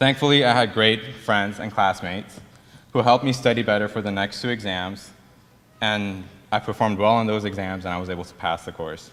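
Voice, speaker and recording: This man has a Persian accent and a fairly low voice, speaking at a fairly quick pace. His intonation is fairly even, but his loudness swings widely. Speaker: dental student. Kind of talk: ceremony speech.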